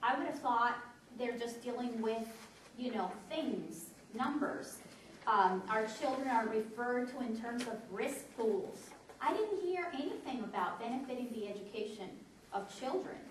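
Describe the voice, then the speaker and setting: Amid noticeable background noise and audible room echo, a woman talks at a moderate pace in a high pitch. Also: lively intonation. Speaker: public commenter at a meeting. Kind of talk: public comment at a meeting. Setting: public meeting.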